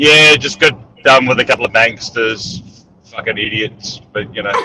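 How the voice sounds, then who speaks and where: Speech comes in an Australian accent. The pace is moderate. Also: man, medium pitch for a man, ordinary pitch variation. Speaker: entrepreneur and military veteran. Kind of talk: casual interview. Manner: hesitant, many fillers.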